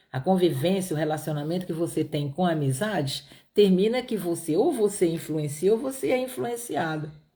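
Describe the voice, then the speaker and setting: A woman's somewhat breathy, fairly low voice with a dark, mellow tone and lively intonation. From Brazil, Piauí (Northeast). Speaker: Bible teacher. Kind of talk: Bible study livestream. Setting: live stream.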